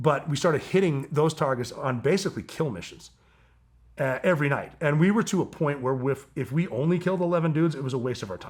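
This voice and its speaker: Very fast and animated, a man talks with a somewhat breathy voice. His pitch is fairly high, with ordinary pitch variation. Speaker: former special operations soldier. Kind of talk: casual interview conversation.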